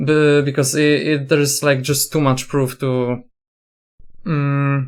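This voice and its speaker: A man with a non-native accent speaks very slowly in a fairly high, monotone, flat voice. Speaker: gaming content creator. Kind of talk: commentary video. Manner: halting, many fillers and restarts.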